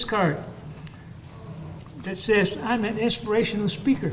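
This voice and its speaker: A man with a high-pitched voice, ordinary pitch variation and a moderate pace, amid noticeable background noise and audible room echo. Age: 80s+. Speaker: war veteran, cardiologist, speaker. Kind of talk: ceremony speech.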